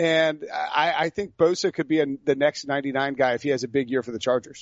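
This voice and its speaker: Using a normal speaking voice, a man talks at a fairly quick pace with a fairly high pitch. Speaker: sports podcast host. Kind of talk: casual chat.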